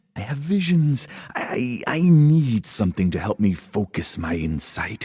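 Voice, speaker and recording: A man's put-on character voice at medium pitch, with very wide pitch swings and a moderate pace. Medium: read story. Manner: earnest, gentle.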